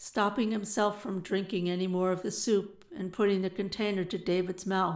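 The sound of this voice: This is an unforced reading voice. Nothing else stands out.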